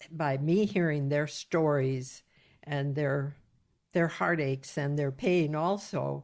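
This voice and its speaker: A woman speaks at a very slow pace with a very deep, low pitch and ordinary pitch variation. The recording is very clean, with a silent background. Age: 80s+. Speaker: retired social worker and mother. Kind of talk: podcast interview. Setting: home recording.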